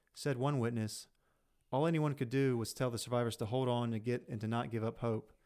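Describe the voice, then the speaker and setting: A man with a Southern US accent, medium pitch, fairly even intonation and a fairly quick pace, in a very clean recording with a silent background. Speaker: podcast host. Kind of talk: casual chat. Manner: joking, profane.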